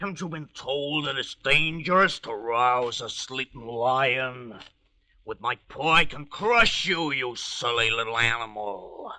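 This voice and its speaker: A man uses a put-on, growling character voice at a medium pitch. He speaks at a fairly slow pace. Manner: growling, scolding.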